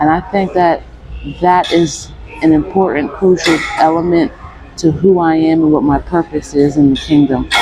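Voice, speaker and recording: Music plays behind a soft-spoken woman. Her voice is fairly low-pitched, with fairly even intonation. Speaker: vlogger. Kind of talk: personal vlog monologue. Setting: gym.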